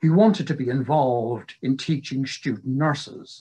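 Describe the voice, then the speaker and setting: A man speaks at a medium pitch and a fairly slow pace. His voice is somewhat breathy. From England. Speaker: retired psychiatric nurse and nursing historian; presenter. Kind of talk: lecture. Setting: video call. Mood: calm, reflective.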